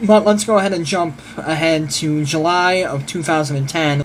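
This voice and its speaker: The voice shows ordinary pitch variation. Audible room echo and noticeable background noise surround it. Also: man. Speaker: vlogger and musician. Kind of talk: casual vlog monologue. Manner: fast.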